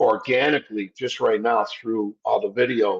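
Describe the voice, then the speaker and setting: In a dry, close sound with no echo, a man speaks at a moderate pace with lively intonation. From upstate New York, Italian-American family. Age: 60s. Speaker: insurance industry consultant. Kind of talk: podcast interview. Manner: animated.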